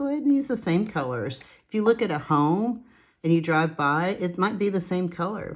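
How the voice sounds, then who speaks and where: A woman's intonation is lively, and her pace is moderate. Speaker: coloring tutorial creator. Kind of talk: tutorial. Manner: casual, chatty.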